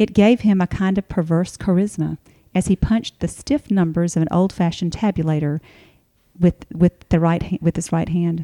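A woman speaks at a moderate pace in a fairly low pitch, her dark, mellow tone held in fairly even intonation and captured with a dry, close sound with no echo. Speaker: columnist, writer. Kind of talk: casual chat and reading own essay.

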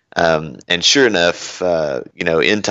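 A man with a Kentucky accent, a very deep, low pitch and fairly even intonation. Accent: Southern US (Kentucky). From Kentucky (Bowling Green). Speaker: senior security architect. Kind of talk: casual interview chat.

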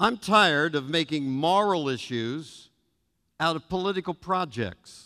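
At a fairly high pitch and fairly slow pace, a man speaks in a bright, sharp, animated tone with lively intonation. The recording is very clean, with a silent background. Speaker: pastor. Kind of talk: sermon. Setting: church.

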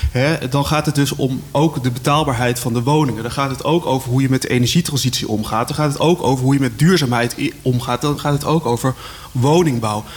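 Talking fairly quickly, a man is heard against noticeable noise behind him. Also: medium pitch for a man, fairly even intonation. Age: young. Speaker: local politician. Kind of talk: radio discussion. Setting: live radio in a cultural centre.

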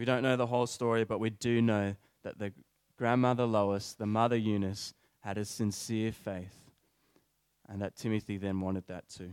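In a dry, close sound with no echo, a man talks at a moderate pace in a fairly low, monotone voice with flat intonation. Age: 20s. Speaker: preacher. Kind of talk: sermon.

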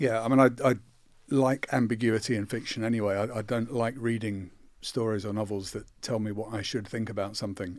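Talking at a very fast pace in a southern English accent, a man with a fairly low voice is heard on a very clean recording with a silent background. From south London, Croydon. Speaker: novelist. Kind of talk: interview.

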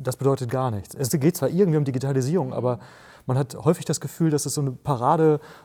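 With a dark, mellow tone, a man speaks at a very fast pace in a fairly high pitch. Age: 30s. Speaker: author and entrepreneur. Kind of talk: podcast interview.

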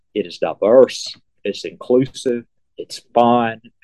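A man with a medium pitch speaks with an Alabama accent in a dry, close sound with no echo. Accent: Southern US (Alabama). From US South, Selma, Alabama. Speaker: museum curator. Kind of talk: interview.

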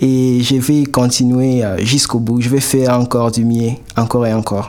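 A fairly slow pace with noticeable background noise. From Goma, eastern DR Congo. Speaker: art student and comic artist. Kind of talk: interview. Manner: halting.

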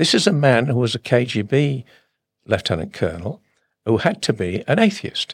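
Very wide pitch swings at a moderate pace, with a dry, close sound and no echo. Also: man, medium pitch for a man. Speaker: defence strategist and professor. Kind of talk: interview, analytical discussion.

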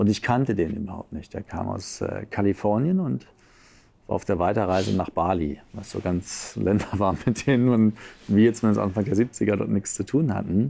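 A man with a dark, mellow tone, fairly low pitch, ordinary pitch variation and a moderate pace. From Berlin, Germany. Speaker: coach and seminar leader. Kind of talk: casual interview.

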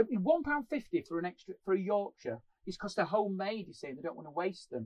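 A man speaks in a high voice, the sound dry and close with no echo. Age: 40s. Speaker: comedian. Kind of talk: casual chat. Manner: animated.

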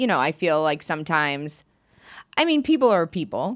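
A woman with an American accent speaks at a fairly low pitch. The recording is very clean, the background silent. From rural Maine, US. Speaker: stand-up comedian. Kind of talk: casual chat.

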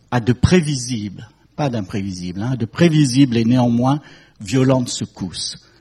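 A somewhat breathy, dark, mellow male voice at medium pitch, with ordinary pitch variation and a fairly slow pace. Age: 70s. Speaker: fashion industry consultant. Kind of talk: talk to an audience.

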